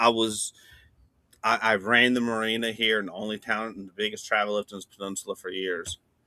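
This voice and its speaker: A man with an American accent and a medium-pitched, bright, sharp voice talks at a fairly quick pace in a dry, close sound with no echo. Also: big swings in loudness. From coastal Virginia, Chesapeake Bay. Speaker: day trader, former marina operator. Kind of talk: casual chat. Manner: fast.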